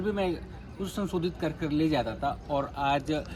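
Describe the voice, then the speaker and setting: A man with a Bengali accent speaks at a fairly high pitch with ordinary pitch variation. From West Bengal, Kolkata. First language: Bengali (speaking Hindi). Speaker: journalist. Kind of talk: interview. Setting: office campus.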